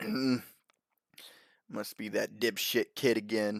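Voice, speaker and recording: A man uses a put-on character voice with a rumbling quality and a medium pitch. He speaks at a fairly slow pace. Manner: grumbling, irritated.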